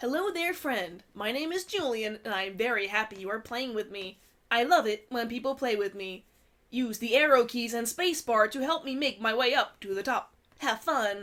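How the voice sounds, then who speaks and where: A robotic put-on character voice with a cheerful tone and fairly high pitch runs at a moderate pace. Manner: cheerful, artificial.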